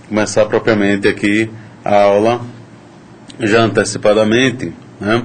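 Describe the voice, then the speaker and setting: Recorded with noticeable background noise and audible room echo, a man speaks at a medium pitch. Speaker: university lecturer. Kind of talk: lecture.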